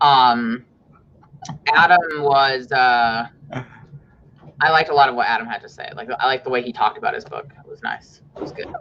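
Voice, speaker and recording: Her pitch very deep and low, a woman speaks at a fairly quick pace with ordinary pitch variation, big swings in loudness, and long, frequent pauses. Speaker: writer and YouTuber. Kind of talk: casual chat. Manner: loud, projecting.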